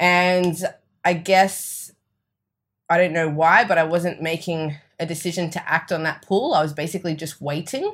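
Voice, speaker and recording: On a very clean recording with a silent background, a woman with an Australian accent and a fairly low pitch speaks at a moderate pace with fairly even intonation. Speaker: energy and mindset coach. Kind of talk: casual interview chat.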